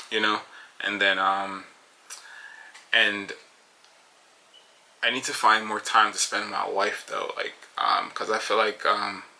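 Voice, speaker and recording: With a Jamaican accent, a man speaks with long, frequent pauses over noticeable background noise. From Jamaica, moved to Paterson, New Jersey at 14. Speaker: podcast host, construction company co-owner. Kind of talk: solo casual monologue. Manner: fast; hesitant, many fillers.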